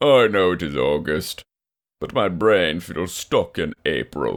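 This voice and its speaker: At a fairly slow pace, a man performs a put-on character voice with a very deep, low pitch. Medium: read story. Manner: deadpan, grumpy.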